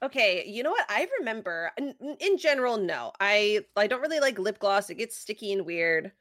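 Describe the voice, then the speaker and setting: Her pitch is fairly high and swings very widely. The woman sounds bubbly and keeps a moderate pace. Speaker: podcast co-host. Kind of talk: casual chat. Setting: live online stream, remote. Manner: bubbly, laughs often.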